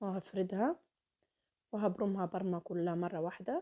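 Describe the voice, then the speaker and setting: Her voice sits at a medium pitch with a dark, mellow tone and ordinary pitch variation. The woman speaks at a moderate pace, and the sound is dry and close with no echo. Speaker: cooking channel host. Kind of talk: cooking tutorial. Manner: warm, chatty.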